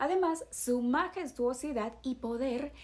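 A fairly slow pace from a woman with a high pitch. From Ecuador, Guayaquil. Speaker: video presenter. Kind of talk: scripted narration.

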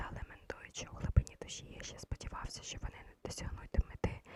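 The speech is whispered at a moderate speed. Noticeable noise sits in the background. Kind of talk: ASMR bedtime story reading. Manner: soft, quiet, intimate.

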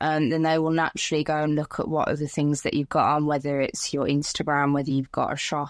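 A woman's very deep, low voice, dry with no echo, over a quiet background. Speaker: podcast guest, content creator. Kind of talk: interview answer. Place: home room. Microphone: phone near.

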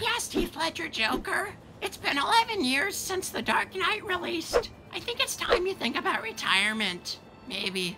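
The voice sits at an extremely high pitch with very wide pitch swings, moving at a moderate pace. Background noise is clearly audible. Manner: whiny, exasperated.

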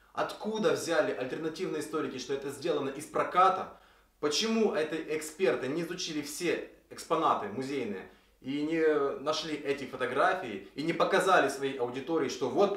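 At a moderate pace, a man talks in a room with audible echo and a quiet background. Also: ordinary pitch variation. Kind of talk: explanatory video commentary. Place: workshop.

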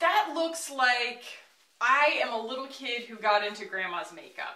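A woman's high voice with very wide pitch swings and big swings in loudness, heard with audible room echo. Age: 30s. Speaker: beauty YouTuber. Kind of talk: makeup tutorial and product review. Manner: animated.

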